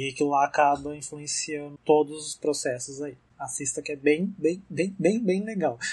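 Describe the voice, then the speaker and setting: The man's voice is fairly high in pitch and somewhat breathy. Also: ordinary pitch variation, moderate pace. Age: 20s. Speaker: podcast host. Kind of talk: casual chat.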